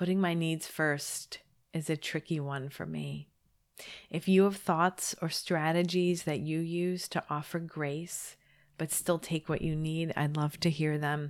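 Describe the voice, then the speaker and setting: A woman's very deep, low voice in a monotone, flat intonation at a fairly slow pace, on a very clean recording with a silent background. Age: 40s. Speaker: podcast host. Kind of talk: monologue podcast episode.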